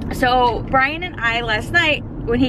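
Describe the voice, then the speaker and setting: Over noticeable background noise, a woman talks at a fairly slow pace with a dry sound and no echo. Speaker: vlogger. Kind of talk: casual vlog chat. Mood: excited. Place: car. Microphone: phone near.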